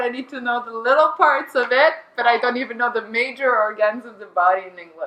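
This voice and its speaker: Talking at a fairly quick pace, a high-pitched woman with a Quebec accent comes through noticeable background noise. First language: French. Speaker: beach volleyball player. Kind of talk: casual chat. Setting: studio.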